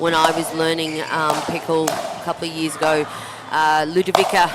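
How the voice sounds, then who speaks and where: Against noticeable background noise, a woman with a very deep, low voice speaks at a moderate pace in a flat, monotone way. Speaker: pickleball commentator. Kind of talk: live commentary. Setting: commentary booth.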